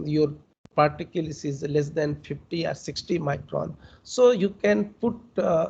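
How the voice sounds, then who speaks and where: Somewhat breathy and fairly slow, a man speaks with fairly high pitch and lively intonation. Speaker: senior research scientist. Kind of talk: lecture Q&A. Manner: halting, many fillers.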